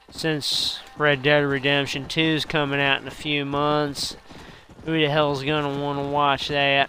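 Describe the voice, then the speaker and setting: Putting on a character voice in a Southern US accent, a man drawls at a moderate pace with a fairly high pitch and monotone, flat intonation over light background noise. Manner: exaggerated.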